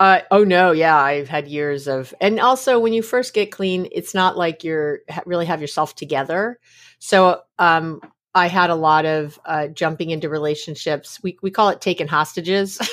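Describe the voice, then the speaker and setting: An ordinary speaking voice comes through on a very clean recording with a silent background. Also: woman, fairly low pitch for a woman, ordinary pitch variation, moderate pace. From New York City. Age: 50s. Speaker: psychologist. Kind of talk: casual interview.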